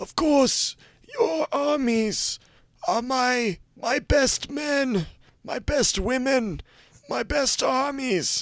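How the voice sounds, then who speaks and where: A put-on character voice speaks at a high pitch and a very slow pace. Long pauses come often. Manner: pompous, grand.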